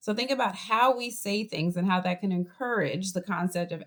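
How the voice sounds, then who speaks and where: Speaking with a Boston accent at a moderate pace, a woman uses medium pitch and ordinary pitch variation on a very clean recording with a silent background. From US Northeast, Boston. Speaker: college professor. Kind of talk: lecture.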